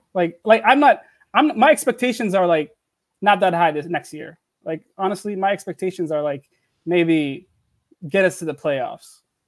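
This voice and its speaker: A man's high-pitched voice, lively in intonation, at a moderate pace with big swings in loudness, long, frequent pauses, and a dry, close sound with no echo. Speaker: sports fan. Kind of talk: casual chat. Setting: video call. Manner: excitable.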